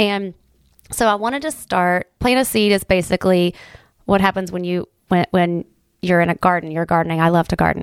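Appalachian-accented speech at a fairly quick pace, dry and close with no echo, in a very clean recording with a silent background. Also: woman, fairly low pitch for a woman, ordinary pitch variation. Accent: Appalachian American. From Southern Ohio, Appalachia. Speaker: community volunteer and former teacher. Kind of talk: casual interview. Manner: halting, many fillers and repeats.

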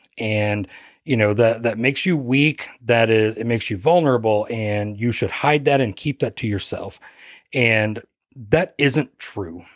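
A man speaks at medium pitch and a moderate pace in a normal speaking voice, on a very clean recording with a silent background. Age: 40s. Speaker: police K9 officer and dog trainer, podcast co-host. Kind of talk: casual podcast talk.

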